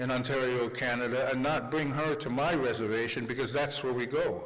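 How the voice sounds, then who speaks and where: A man with an American accent speaks at a moderate pace and a fairly high pitch. Audible room echo and noticeable background noise surround him. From New York City, Manhattan. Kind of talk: conference speech.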